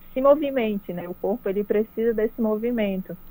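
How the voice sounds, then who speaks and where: A woman speaks at a moderate pace with a normal speaking voice. Her pitch is fairly high, with ordinary variation. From Pará interior, Brazil (Capanema). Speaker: cyclist and online cycling promoter. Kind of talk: radio interview.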